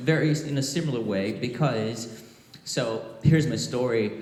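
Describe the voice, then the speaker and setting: A man speaks at a fairly slow pace, his pitch medium with ordinary variation. Audible room echo surrounds his voice. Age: 30s. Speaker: guitarist. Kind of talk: panel talk at a trade show. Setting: stage with audience.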